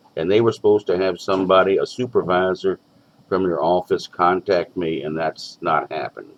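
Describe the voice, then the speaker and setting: A man at a moderate pace. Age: 60s. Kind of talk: phone call with billing office. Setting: phone call. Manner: halting.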